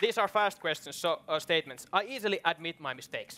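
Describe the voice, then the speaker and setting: A raised, projected voice with a Finnish accent moves at a fairly quick pace with lively intonation. There is noticeable background noise. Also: man. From Finland. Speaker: event host. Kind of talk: moderated panel discussion. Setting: stage with audience. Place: stage. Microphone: headset.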